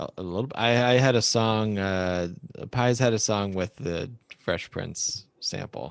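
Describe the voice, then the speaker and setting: An ordinary speaking voice: a man with an American accent, fairly low pitch, ordinary pitch variation and a fairly slow pace. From Michigan. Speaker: podcast host. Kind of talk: casual chat.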